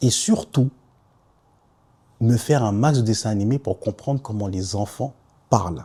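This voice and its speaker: Long, frequent pauses break up a man's fairly slow speech. His tone is dark and mellow, and his voice is somewhat breathy. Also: medium pitch for a man, ordinary pitch variation. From Ivory Coast, then Paris suburbs (Saint-Denis, Nogent). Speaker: podcaster. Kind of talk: personal testimony podcast. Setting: self-filmed podcast. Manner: casual.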